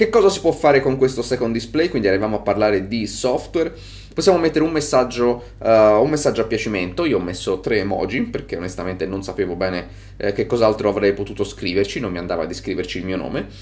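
A man talks at a very fast pace in a fairly low pitch. His intonation is lively. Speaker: tech reviewer. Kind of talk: product review.

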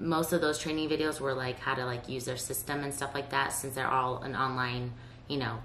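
A woman speaks with a very deep, low pitch in a monotone, flat delivery. The room echo is audible, and there is light background noise. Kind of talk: casual vlog chat. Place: home room.

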